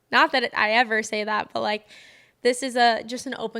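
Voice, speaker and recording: A bright, sharp tone with fairly even intonation, on a very clean recording with a silent background. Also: woman. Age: 20s. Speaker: podcast host. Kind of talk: personal reflective monologue. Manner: fast.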